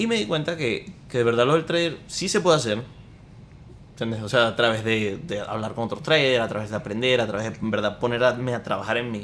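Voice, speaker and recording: Speaking at a fairly quick pace, a man uses an unremarkable speaking voice, medium in pitch, with ordinary pitch variation. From Venezuela (Maracaibo). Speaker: podcast co-host, entrepreneur. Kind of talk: casual chat.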